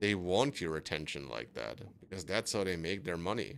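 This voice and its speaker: Very deep, low male speech with vocal fry at a moderate pace. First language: not English. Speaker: gaming streamer. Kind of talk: casual monologue while gaming. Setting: live stream. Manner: hesitant, self-doubting.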